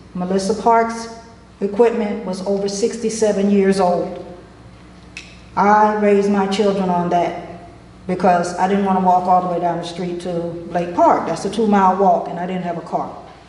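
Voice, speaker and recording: A woman with an American accent speaks at a moderate pace. Her intonation is monotone and flat, with audible room echo. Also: medium pitch for a woman. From Florida. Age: 60s. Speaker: resident speaking at public comment. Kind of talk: public comment at town meeting. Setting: town commission meeting.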